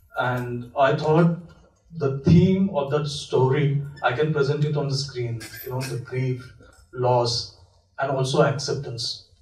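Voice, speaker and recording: Fairly slow speech in a Marathi accent, with fairly even intonation and audible room echo. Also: man, fairly high pitch for a man. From India, Maharashtra. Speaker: film director. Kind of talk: festival Q&A talk. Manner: halting, many fillers.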